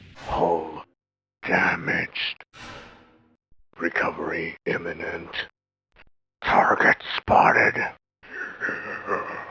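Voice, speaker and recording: Doing a put-on character voice, a man talks in a raspy tone at a very slow pace, with long, frequent pauses. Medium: voice reel. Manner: clipped, mechanical.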